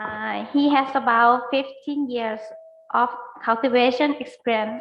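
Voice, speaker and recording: Her voice is high for a woman, delivered at a fairly slow pace in a monotone with flat intonation. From Thailand. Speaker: agricultural extension officer. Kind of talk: webinar presentation. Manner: halting. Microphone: too quiet at first.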